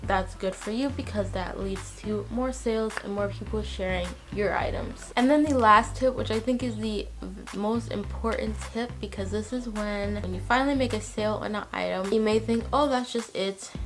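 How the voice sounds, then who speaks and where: Moderate pace, with music in the background. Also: woman. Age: 20s. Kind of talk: casual talk to camera. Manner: upbeat.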